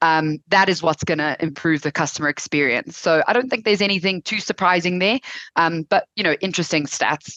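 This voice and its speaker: A woman with a fairly low pitch and a bright, sharp tone speaks at a fairly quick pace, with ordinary pitch variation and a dry, close sound with no echo. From South Africa. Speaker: webinar presenter, ecommerce specialist. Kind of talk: webinar presentation. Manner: casual with many filler words.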